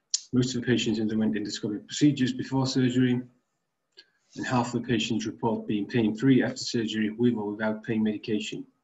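Very fast speech comes from a man. His voice is somewhat breathy. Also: fairly even intonation. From Finland, Tampere. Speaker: medical researcher. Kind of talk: conference presentation. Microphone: webcam.

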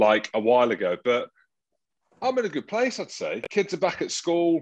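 A man talks at a fairly quick pace with lively intonation against a quiet background. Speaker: podcast co-host. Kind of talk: casual podcast banter. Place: home room. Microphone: handheld.

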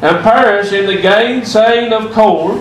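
The speech moves at a moderate pace. Room echo is audible, with light background noise. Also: man. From US South. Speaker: preacher. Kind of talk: sermon. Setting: church. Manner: halting. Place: church.

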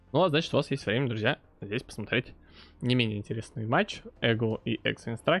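In a plain, everyday voice, a man talks at a medium pitch, his pitch varying in an ordinary way. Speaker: esports caster. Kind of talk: live sports commentary.

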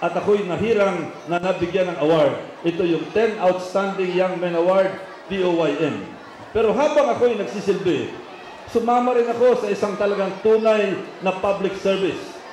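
Heard with audible room echo and light background noise, a man speaks at a high pitch with a Filipino accent and ordinary pitch variation. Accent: Filipino English and Tagalog. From Philippines. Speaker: politician. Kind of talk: rally speech. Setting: outdoor rally with audience and slides. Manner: proud, boastful, animated; campaign-style slideshow narration, direct to crowd. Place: stage. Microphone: pa.

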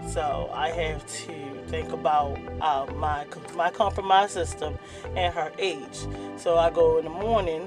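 A woman talks fairly slowly while clear music plays behind her. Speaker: new vlogger. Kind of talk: casual vlog chat. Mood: a bit nervous. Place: car. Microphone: phone near.

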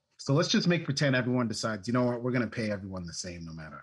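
A man with an American accent, medium-pitched with vocal fry, against a quiet background. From US Northeast, Maine. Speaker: remote work consultant; interview guest. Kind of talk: interview conversation. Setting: remote call. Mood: friendly, animated. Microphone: video call.

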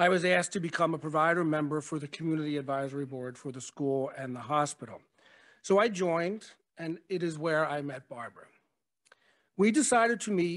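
Against a quiet background, a man speaks at a high pitch and a fairly quick pace. His pitch variation is ordinary. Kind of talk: memorial speech. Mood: warm, reflective. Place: hall. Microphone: podium.

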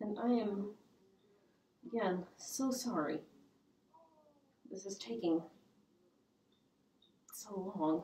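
A very slow, somewhat breathy voice with a dark, mellow tone, lively intonation and long, frequent pauses, in audible room echo. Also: woman. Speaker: historical fashion presenter. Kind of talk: casual talk to camera. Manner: hesitant, casual with fillers. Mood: cheerful, amused. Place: home room. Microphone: camera far.

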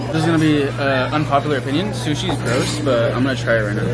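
A man speaks at a very fast pace while loud background noise fills the clip. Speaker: vlogger. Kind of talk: casual vlog chat.

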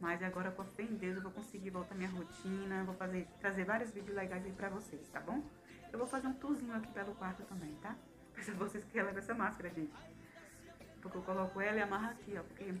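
A woman's very fast speech with ordinary pitch variation, over clear music in the background. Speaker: new mother vlogger. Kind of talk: casual vlog chat. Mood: warm, grateful. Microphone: phone near.

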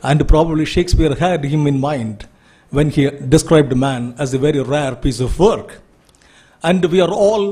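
A somewhat breathy man at a moderate pace. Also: quiet background. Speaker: speaker. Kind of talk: formal introductory speech. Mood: admiring, ceremonial. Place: hall. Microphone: podium.

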